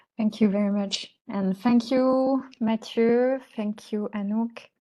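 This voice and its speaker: With a French accent, a woman speaks at a very slow pace. Her pitch sits fairly high. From France. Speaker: researcher, lecturer. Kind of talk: lecture.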